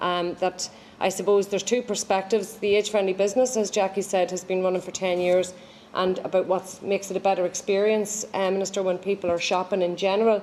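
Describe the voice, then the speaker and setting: With an Irish accent, a woman of medium pitch talks at a very fast pace in a monotone, flat intonation. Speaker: age friendly programme official. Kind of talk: formal event speech. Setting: live-streamed launch event.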